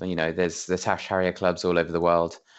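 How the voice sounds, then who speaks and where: In an English accent, a man speaks with a very deep, low pitch. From England. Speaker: podcast guest, friend of host, football fan. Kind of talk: casual chat.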